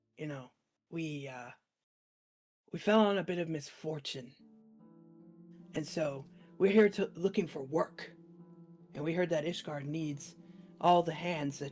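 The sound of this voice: Pitched in the middle, a raspy, gruff put-on character voice moves at a fairly slow pace with long, frequent pauses, faint music in the background.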